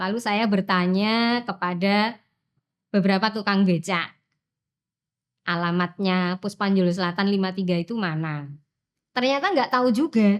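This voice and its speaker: A woman with a Javanese accent at medium pitch, with ordinary pitch variation, a moderate pace, and long, frequent pauses, in a very clean recording with a silent background. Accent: Javanese-accented Indonesian. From Central Java, Wonogiri. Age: 50s. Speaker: teacher. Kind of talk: personal interview storytelling. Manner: casual, with fillers.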